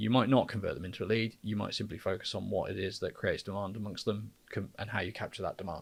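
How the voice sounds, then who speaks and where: Delivered at a very fast pace with hardly any pauses, the speech comes in an English accent. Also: man. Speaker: podcast co-host, marketer. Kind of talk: casual podcast conversation. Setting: studio.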